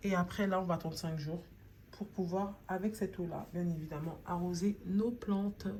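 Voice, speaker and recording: Her medium pitch carries a dark, mellow tone that is somewhat breathy. The woman keeps a moderate pace and fairly even intonation. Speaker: home gardening video maker. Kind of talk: tutorial. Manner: casual, conversational.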